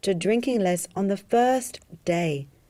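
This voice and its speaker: A woman at a medium pitch with a dark, mellow tone, lively intonation and a fairly slow pace. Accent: Australian. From Australia. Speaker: hypnotherapist selling a drinking program. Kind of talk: sales pitch.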